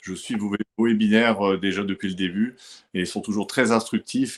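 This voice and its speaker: A man in a northern French accent, moderate pace, ordinary pitch variation. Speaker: gym owner and fitness consultant. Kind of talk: webinar presentation.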